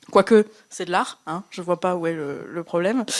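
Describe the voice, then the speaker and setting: A woman speaks at a fairly slow pace. The recording is very clean with a silent background. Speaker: podcast host. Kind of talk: live podcast presentation. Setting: bar stage with live audience.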